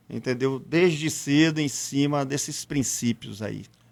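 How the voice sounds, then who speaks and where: A man at a fairly high pitch and very slow pace, on a very clean recording with a silent background. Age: 60s. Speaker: local businessman. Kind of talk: interview.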